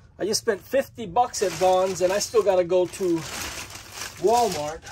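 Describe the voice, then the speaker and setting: Amid noticeable background noise, a man with a high pitch speaks at a moderate pace with ordinary pitch variation. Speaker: van-life vlogger. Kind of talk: casual vlog chat. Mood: grumpy humorous complaint. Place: home room.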